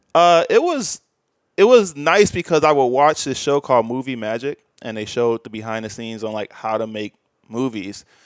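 With a normal speaking voice and an American accent, a man talks at a moderate pace and medium pitch, his intonation lively and his loudness swinging widely, in a very clean recording with a silent background and a dry, close sound with no echo. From US Midwest, Chicago suburbs. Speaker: video editor and VFX artist. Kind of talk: casual interview chat.

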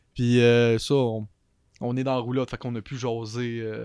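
A man with a normal speaking voice, medium pitch and moderate pace, in a quiet background. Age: 20s. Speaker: larp player. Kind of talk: casual chat.

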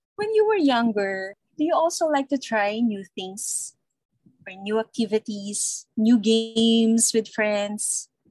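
A woman's somewhat breathy, fairly high voice at a very slow pace, with ordinary pitch variation, big swings in loudness, and a dry, close sound with no echo. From Philippines, Laguna. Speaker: podcast co-host. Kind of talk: casual chat.

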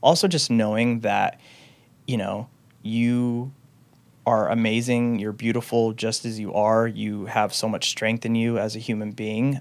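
A man with a medium-pitched voice talks at a fairly slow pace. His intonation is fairly even. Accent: American. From US Pacific Northwest, Renton, Washington. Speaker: former prisoner and filmmaker. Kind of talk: personal testimony in interview. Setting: studio. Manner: casual, with frequent fillers.

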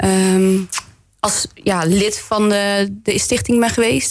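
A woman speaks at a medium pitch with fairly even intonation. Music plays in the background. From West Brabant, Netherlands (Bergen op Zoom). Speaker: municipal councillor. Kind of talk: radio interview. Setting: radio studio.

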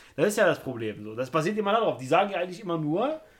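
Talking at a very fast pace, a man with a high pitch lets his voice swing very widely up and down. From Germany, Turkish background. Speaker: podcast co-host. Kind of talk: casual chat.

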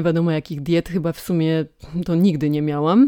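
In a very clean recording with a silent background, a woman talks at a fairly quick pace in a dark, mellow tone, the sound dry and close with no echo. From Poland, Toruń. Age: 20s. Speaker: fashion model. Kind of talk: casual interview chat.

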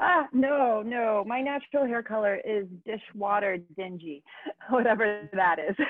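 Amid noticeable background noise, a woman with a fairly high pitch speaks at a fairly slow pace with lively intonation. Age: 30s. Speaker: motorcycle rider and brand ambassador. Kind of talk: casual chat. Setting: remote call.

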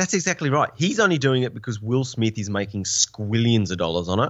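With an Australian accent, a man talks at a moderate pace in a fairly low pitch and lively intonation. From Tasmania, Australia. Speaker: vlogger. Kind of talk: casual chat.

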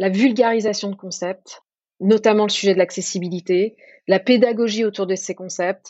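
An ordinary speaking voice from a woman, medium in pitch, fairly even in intonation, and fairly slow in pace. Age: 30s. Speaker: government design team lead. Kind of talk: interview.

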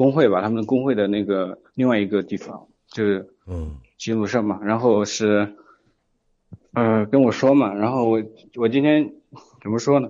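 A man talks at a moderate pace with ordinary pitch variation and long, frequent pauses. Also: medium pitch for a man. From Hunan, China. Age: 20s. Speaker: caller. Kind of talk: casual chat. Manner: halting.

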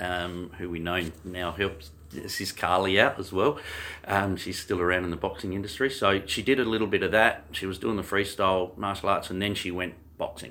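Fairly quick speech in an Australian accent carries a bright, sharp tone and fairly even intonation. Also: man, very deep, low pitch for a man. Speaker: martial arts coach. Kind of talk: casual interview. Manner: loud; halting.

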